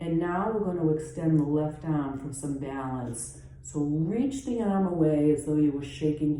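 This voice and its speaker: Calm in tone, a woman with a very deep, low pitch speaks fairly slowly in a Boston accent, with ordinary pitch variation and audible room echo. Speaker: yoga teacher. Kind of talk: guided yoga class. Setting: at home. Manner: calm, instructive.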